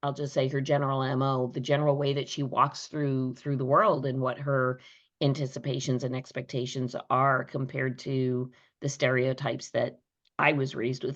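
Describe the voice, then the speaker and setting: Her very deep, low pitch carries fairly even intonation as this woman talks at a moderate pace. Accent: American. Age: 60s. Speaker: podcast host. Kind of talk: interview conversation.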